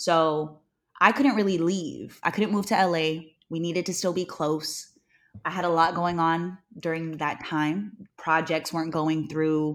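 A woman with a plain, everyday voice, fairly low in pitch and fairly slow in pace, on a very clean recording with a silent background. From California (Newman, Central Valley), Hawaiian family. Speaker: radio host and model. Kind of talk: casual chat.

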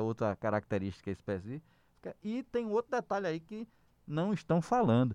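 A man's normal speaking voice at a fairly quick pace, ordinary pitch variation, dry and close with no echo, over a quiet background. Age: 40s. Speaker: podcast co-host. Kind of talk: political debate chat.

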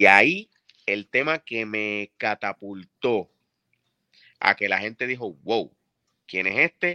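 With a quiet background and a dry, close sound with no echo, a man speaks very slowly at a fairly low pitch, his tone bright and sharp, his pitch variation ordinary, and his pauses long and frequent. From Puerto Rico (Carolina, Bayamón). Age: 40s. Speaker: music producer. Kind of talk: interview.

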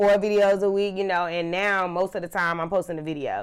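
A woman is speaking. Her intonation is flat and monotone. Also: very clean recording, silent background. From US South, Charlotte, North Carolina. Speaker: social media content creator. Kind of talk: casual chat.

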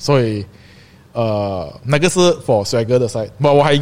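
The man speaks at a moderate pace. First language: English and Hokkien rather than Mandarin (speaking Chinese). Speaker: streetwear brand founder and shop owner. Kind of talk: casual chat.

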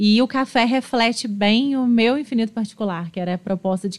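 Somewhat breathy, a woman's voice moves along at a moderate pace. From Minas Gerais, Juiz de Fora. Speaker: architect. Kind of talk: casual interview.

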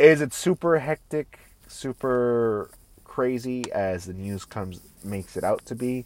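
In an unremarkable speaking voice, a man talks at a fairly slow pace with a medium pitch and lively intonation. His loudness swings widely, and the sound is dry and close with no echo. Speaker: podcaster. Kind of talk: casual solo rant. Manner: casual, expressive, profane.

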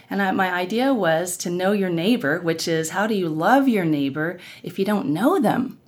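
A woman with an American accent has an ordinary speaking voice at a medium pitch. She talks at a moderate pace with lively intonation. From Oklahoma (Norman). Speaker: worship musician and race-dialogue event organizer. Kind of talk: interview conversation.

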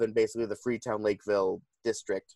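A very fast man with a New England accent and fairly low pitch, in a dry, close sound with no echo and a very clean recording with a silent background. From New Bedford, Massachusetts. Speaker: podcast co-host. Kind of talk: casual chat. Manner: halting.

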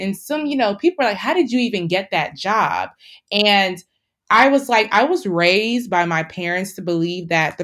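Lively intonation and an animated tone from a woman of medium pitch at a moderate pace, very clean recording, silent background. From Nigerian-American, family from Delta State, Nigeria. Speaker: engineer and doctoral student. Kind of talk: casual interview chat. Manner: animated, laughs often.

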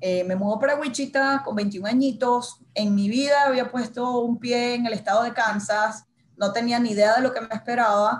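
A woman speaks with a Venezuelan accent. Her pitch shows ordinary variation. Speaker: marketing and communications manager, former TV journalist. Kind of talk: casual interview.

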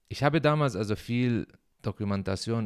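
A man with an Arabic accent. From Syria. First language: Arabic (speaking German). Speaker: podcaster. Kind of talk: personal monologue. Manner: halting.

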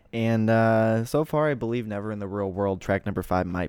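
Here a man talks at a fairly quick pace in a fairly low pitch. He has an unremarkable speaking voice with ordinary pitch variation. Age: 20s. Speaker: podcast host and music reviewer. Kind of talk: album review monologue. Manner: casual with many filler words.

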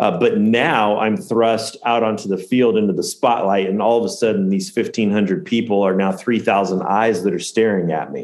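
With an American accent and an unremarkable speaking voice, a man talks at a moderate pace and a fairly low pitch, with hardly any pauses. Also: ordinary pitch variation. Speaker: storyteller and former minister. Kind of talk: storytelling, telling a tall tale about a contest, exaggerating crowd sizes.

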